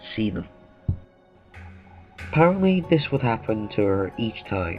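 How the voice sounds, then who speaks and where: Music plays in the background. A man with a fairly low pitch talks at a moderate pace. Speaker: creepypasta narrator. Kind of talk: horror story reading.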